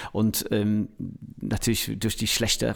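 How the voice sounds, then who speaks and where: A man's fairly low voice with an English accent, vocal fry and a moderate pace. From England, Manchester. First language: English (speaking German). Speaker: music producer. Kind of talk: interview. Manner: halting.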